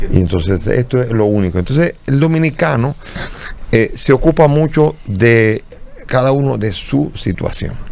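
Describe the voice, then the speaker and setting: Noticeable background noise surrounds a man with a medium-pitched voice. He talks at a fairly slow pace with lively intonation. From Dominican Republic. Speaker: bishop. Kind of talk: interview. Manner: halting, with repetitions.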